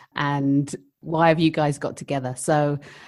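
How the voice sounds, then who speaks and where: A woman with a London accent speaks with a very deep, low pitch, a dark, mellow tone and fairly even intonation in a very clean recording with a silent background. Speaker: midwife, podcast co-host. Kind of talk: casual chat.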